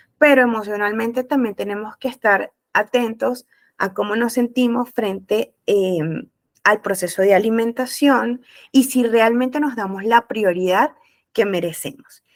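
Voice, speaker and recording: A woman with a plain, everyday voice speaks at a fairly slow pace and fairly high pitch, with ordinary pitch variation and a dry, close sound with no echo. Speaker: nutritionist. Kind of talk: webinar talk.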